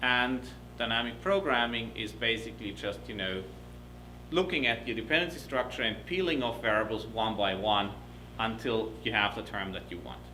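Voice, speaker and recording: The speech has ordinary pitch variation and audible room echo. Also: man, medium pitch for a man. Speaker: professor. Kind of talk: lecture. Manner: fast.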